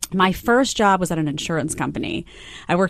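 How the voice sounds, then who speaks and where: The speaker talks at a very fast pace. The voice carries an American accent. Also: woman. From New York, Staten Island. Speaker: TV news commentator. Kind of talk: interview.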